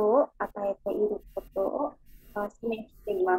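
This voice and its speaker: A woman with an Indonesian accent speaks at a fairly slow pace, her tone dark and mellow with ordinary pitch variation. The sound is dry with no echo, over a quiet background. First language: Indonesian (speaking Japanese). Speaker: student. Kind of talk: class presentation. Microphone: video call.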